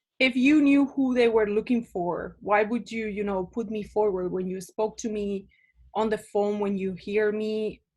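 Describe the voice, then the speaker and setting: Against a quiet background, a woman with a Spanish accent speaks at a moderate pace in a fairly high voice with fairly even intonation. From Spain, small town. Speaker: immigrant interviewee. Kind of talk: casual interview.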